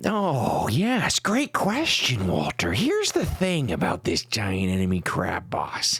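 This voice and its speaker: A man puts on a character voice at a fairly slow pace. Light background noise sits behind him. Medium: solo performance.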